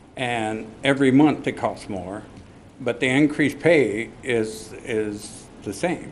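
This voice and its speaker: A man talks at a medium pitch with ordinary pitch variation. Audible room echo surrounds his voice. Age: 70s. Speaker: resident speaking at public hearing. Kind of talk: public testimony. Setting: city council meeting. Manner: halting.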